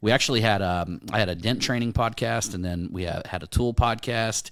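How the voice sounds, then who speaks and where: Delivered at a fairly quick pace with ordinary pitch variation, the speech sits on a very clean recording with a silent background. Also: man, fairly low pitch for a man. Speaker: podcast host and dent repair business owner. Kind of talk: casual chat. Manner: fast.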